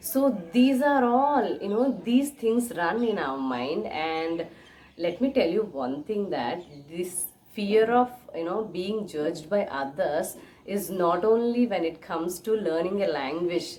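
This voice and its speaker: With an Indian accent, a woman speaks at a fairly slow pace and medium pitch. Her voice makes very wide pitch swings over noticeable background noise. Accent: Indian English (Telugu). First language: Telugu. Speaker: English teacher / YouTuber. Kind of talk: tutorial.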